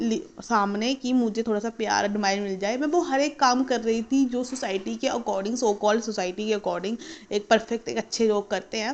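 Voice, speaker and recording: A woman speaks in an unremarkable speaking voice at a moderate pace. She uses ordinary pitch variation and hardly any pauses. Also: fairly high pitch for a woman. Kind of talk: casual story time talk to camera.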